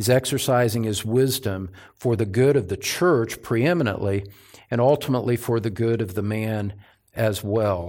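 In a very clean recording with a silent background, a man with a plain, everyday voice speaks at a medium pitch and a fairly slow pace. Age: 60s. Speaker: pastor. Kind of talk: sermon. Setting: church.

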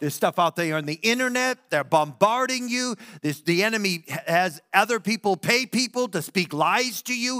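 The voice is raised and projected, animated and warm, bright and sharp, with lively intonation at a moderate pace in a dry, close sound with no echo. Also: man, high pitch for a man. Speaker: pastor. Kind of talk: sermon. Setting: church. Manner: animated, warm and conversational, building to an earnest altar-call appeal.

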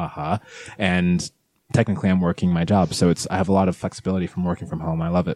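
At a very fast pace, the speaker uses a dark, mellow tone with a Californian accent, and the sound is dry and close with no echo. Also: man, very deep, low pitch for a man. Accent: sounds Californian. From England, London, with childhood in Nigeria and California. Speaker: cosplayer. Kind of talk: casual chat.

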